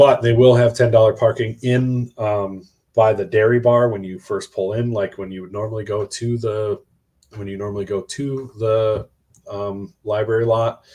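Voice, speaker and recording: A man's loud, dark, mellow voice at a moderate pace with fairly even intonation. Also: medium pitch for a man. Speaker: college football podcast co-host. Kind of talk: casual chat. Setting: hotel room.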